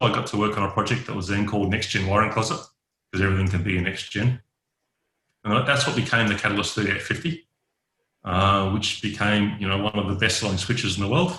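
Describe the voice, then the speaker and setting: A man's fairly low, bright and sharp voice with an Australian accent, at a fairly quick pace. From Western Australia, Perth. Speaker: network engineer. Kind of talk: podcast interview.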